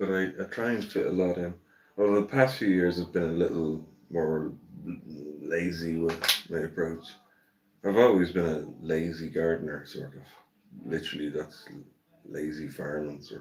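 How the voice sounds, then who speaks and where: With an Irish accent, a man speaks in a very deep, low voice at a moderate pace and in a relaxed tone, his loudness swinging widely, his pitch varying in an ordinary way, and his pauses long and frequent. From Ireland. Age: 60s. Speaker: gardening livestreamer. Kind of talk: casual live stream chat. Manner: relaxed, chatty.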